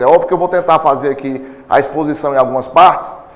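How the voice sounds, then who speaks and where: A man talks loudly at a fairly quick pace. Audible room echo surrounds his voice. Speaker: philosophy professor. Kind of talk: lecture. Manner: fast.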